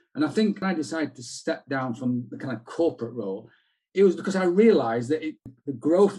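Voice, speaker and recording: With a Yorkshire accent, a man speaks at a fairly quick pace in a fairly high pitch with lively intonation. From South Yorkshire, England. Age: 60s. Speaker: retired journalist and PR consultant. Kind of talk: interview conversation.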